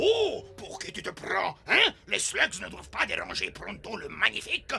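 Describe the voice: Faint music plays behind a man doing a cartoonish character voice at a moderate pace. His high pitch makes very wide swings, with vocal fry and a bright, sharp tone.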